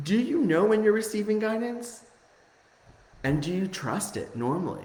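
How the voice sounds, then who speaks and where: Over noticeable background noise and audible room echo, a man with a high voice speaks at a moderate pace with lively intonation. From Italian family, grew up speaking Italian. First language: Italian. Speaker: spiritual coach. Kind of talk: live-streamed spiritual lesson; guided meditation. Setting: Facebook live stream. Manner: hesitant, many fillers.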